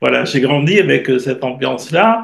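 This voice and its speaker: A man at a medium pitch speaks with vocal fry. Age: 70s. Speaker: astrologer and writer. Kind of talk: interview.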